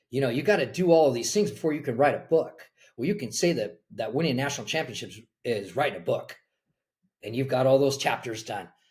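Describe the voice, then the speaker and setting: With an American accent, a man speaks at a fairly quick pace and a fairly high pitch. His voice is somewhat breathy, with lively intonation. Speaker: college soccer coach. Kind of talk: podcast interview.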